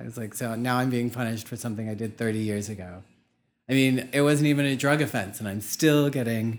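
A man with a plain, everyday voice and an American accent talks at a fairly quick pace, medium in pitch with fairly even intonation, in a very clean recording with a silent background. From Pittsburgh, Pennsylvania. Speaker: drag queen and anthropology graduate. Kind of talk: casual interview.

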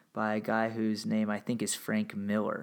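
On a very clean recording, a man's voice sits against a silent background. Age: 30s. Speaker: history podcast host. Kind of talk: solo commentary monologue. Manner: casual with frequent fillers.

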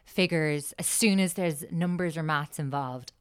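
At a moderate pace, a woman speaks in an Irish accent on a very clean recording with a silent background. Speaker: podcast host. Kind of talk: casual chat. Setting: studio.

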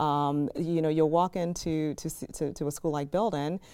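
A woman speaks with a Chicago accent. Her tone is dark and mellow. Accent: Chicago American. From Chicago, South Side. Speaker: education nonprofit CEO. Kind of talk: interview.

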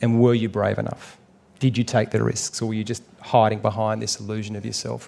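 On a very clean recording with a silent background, a man with an Australian accent speaks at a fairly quick pace in a fairly low pitch, his tone dark and mellow and his intonation monotone and flat. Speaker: actor and documentary maker. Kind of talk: live on-stage conversation. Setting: stage with audience at a writers festival.

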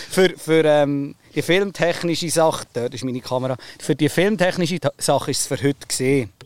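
An unremarkable speaking voice, a man's, fairly high in pitch, with ordinary pitch variation and a moderate pace. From Oberbaselbiet, Switzerland. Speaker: farmer and podcast host. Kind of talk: casual chat.

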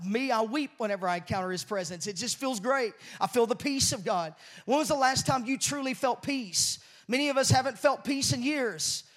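The speaker moves at a fairly quick pace. The intonation is lively. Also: man, extremely high pitch for a man. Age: 40s. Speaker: pastor. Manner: earnest, fervent, building emotional intensity; repetitive, with restarts and filler words.

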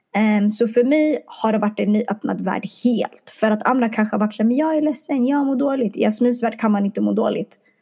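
A somewhat breathy woman, fairly high in pitch and fairly quick, with ordinary pitch variation and very even loudness. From Stockholm suburbs. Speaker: podcast founder. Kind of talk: casual chat. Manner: animated.

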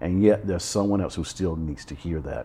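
In a dark, mellow tone, a man talks with an American accent. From US South, Alabama. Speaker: pastor. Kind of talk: interview conversation.

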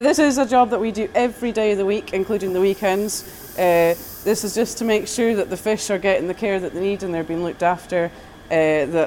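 A woman with a Scottish accent at a fairly quick pace, with ordinary pitch variation. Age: 20s. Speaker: fish farm worker. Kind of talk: interview. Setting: outdoors.

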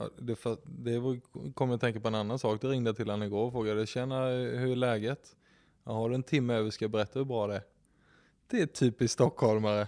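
A man's medium-pitched voice with a dark, mellow tone, fairly even intonation and a fairly quick pace, on a very clean recording with a silent background. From Kalmar, Sweden. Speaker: real estate agent. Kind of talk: casual chat.

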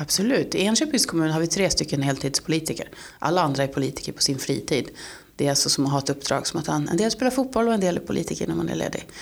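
A woman with a very deep, low voice and vocal fry talks very fast, her pitch swinging very widely. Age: 40s. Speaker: local politician. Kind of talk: interview.

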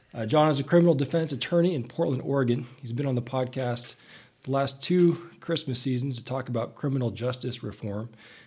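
A man's somewhat breathy voice sits at a medium pitch with ordinary pitch variation as he talks at a fairly quick pace. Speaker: podcast host. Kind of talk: casual interview.

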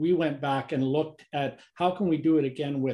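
With a Canadian accent, a man speaks at a moderate pace in a dark, mellow tone that is somewhat breathy, his intonation fairly even. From Canada. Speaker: engineer and company technology executive. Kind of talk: interview.

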